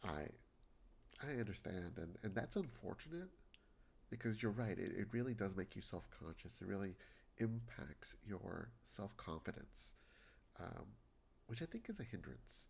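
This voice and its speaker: Lively intonation and vocal fry run through a moderate pace marked by long, frequent pauses. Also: man, fairly low pitch for a man. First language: Spanish. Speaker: video game streamer. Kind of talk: casual chat with live stream viewers. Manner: halting, repeats words.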